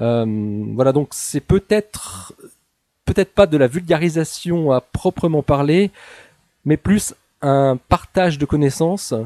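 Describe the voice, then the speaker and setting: A man speaks very slowly in a fairly high voice with lively intonation. The recording is very clean, with a silent background and a dry, close sound without echo. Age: 40s. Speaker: physicist and author. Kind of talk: interview. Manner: hesitant.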